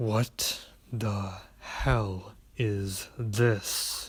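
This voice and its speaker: This is a put-on character voice. Its intonation is monotone and flat. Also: man, fairly low pitch for a man. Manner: cold, menacing.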